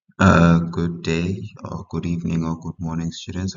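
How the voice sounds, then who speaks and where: A man with a very deep, low pitch at a moderate pace, over noticeable background noise. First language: not English. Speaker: history tutor. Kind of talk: tutorial. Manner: halting.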